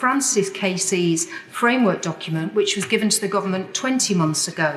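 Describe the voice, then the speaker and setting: A serious tone with ordinary pitch variation against noticeable background noise. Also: woman. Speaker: member of parliament. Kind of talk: parliamentary speech. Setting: legislative chamber. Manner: serious, impassioned.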